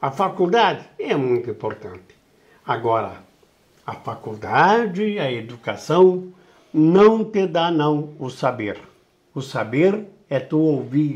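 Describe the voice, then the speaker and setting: Very slow speech from a man, fairly high in pitch, with very wide pitch swings. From southern Brazil, Rio Grande do Sul (Uruguaiana, Itaqui). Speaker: veteran radio broadcaster. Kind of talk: interview. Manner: animated.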